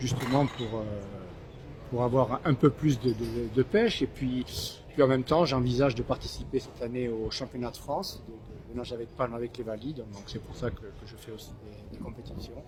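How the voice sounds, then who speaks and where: This man keeps a medium pitch and fairly even intonation while talking at a moderate tempo. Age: 60s. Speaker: long-distance fin swimmer, charity founder. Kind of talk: post-race interview. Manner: halting, repeats words.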